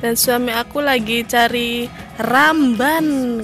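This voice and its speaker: The sound is dry with no echo, with clear music in the background. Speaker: guava farmer vlogger. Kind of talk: casual vlog chat. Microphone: phone near.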